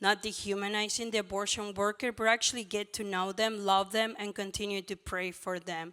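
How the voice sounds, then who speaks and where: A woman with a Mexican accent speaks at a fairly quick pace in a medium pitch. Her tone is bright and sharp, and the recording is very clean with a silent background. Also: hardly any pauses. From Mexico. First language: Spanish. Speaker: former abortion clinic worker, pro-life ministry worker. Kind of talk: conference panel talk. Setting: stage with audience. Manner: animated.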